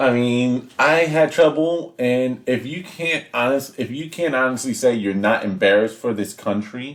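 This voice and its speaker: A man with an unremarkable speaking voice talks at a moderate pace and medium pitch, with ordinary pitch variation and hardly any pauses. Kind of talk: political commentary to camera.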